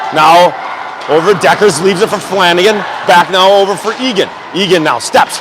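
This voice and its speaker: A loud man with a high pitch talks at a moderate pace with ordinary pitch variation, against noticeable background noise. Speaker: amateur hockey play-by-play commentator. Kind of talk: live commentary.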